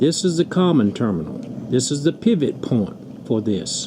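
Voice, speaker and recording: A man speaks with very wide swings in pitch. Background noise is noticeable. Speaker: auto repair youtuber. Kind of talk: tutorial. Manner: fast.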